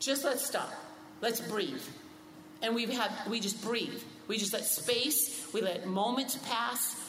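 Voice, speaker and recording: A woman with a fairly high voice talks at a very slow pace, leaving long, frequent pauses. Noticeable background noise can be heard. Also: ordinary pitch variation. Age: 60s. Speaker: pastor. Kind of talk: casual chat.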